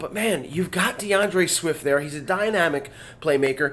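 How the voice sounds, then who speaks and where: A man's fairly high voice at a moderate pace. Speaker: sports podcast host. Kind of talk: casual commentary monologue. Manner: halting.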